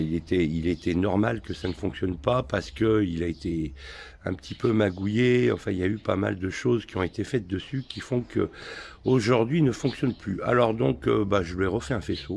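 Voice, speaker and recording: Fairly low in pitch, a man speaks at a moderate pace. His pitch swings very widely. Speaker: motorcycle restorer. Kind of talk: tutorial.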